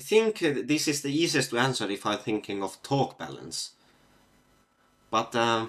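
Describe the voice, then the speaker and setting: A man speaks at a moderate pace with a medium pitch and lively intonation, leaving long, frequent pauses in a very clean recording with a silent background. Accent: Finnish. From Finland. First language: Finnish. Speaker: physics olympiad competitor solving problems. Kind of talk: live problem-solving stream. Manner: halting, many fillers.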